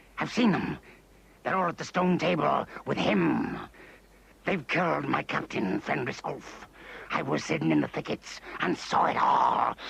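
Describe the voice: In a cartoonish character voice, a man talks with long, frequent pauses. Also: moderate pace.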